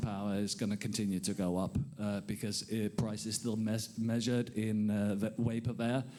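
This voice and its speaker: A man with a Danish accent has a dark, mellow tone and medium pitch, speaking at a moderate pace. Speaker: conference panelist. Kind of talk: panel discussion.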